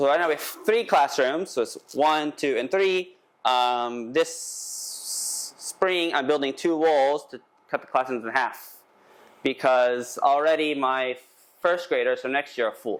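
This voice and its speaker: Speaking with a Texan accent, the voice moves at a fairly slow pace with ordinary pitch variation. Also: man, fairly high pitch for a man. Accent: Texan American English. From Texas. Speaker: English school owner. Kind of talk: conference presentation. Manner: halting, many fillers.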